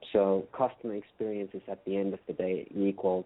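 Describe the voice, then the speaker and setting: A man with a Finnish accent talks at a fairly quick pace, his fairly low pitch held in a monotone, flat intonation. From Finland. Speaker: customer experience consultant. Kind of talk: interview.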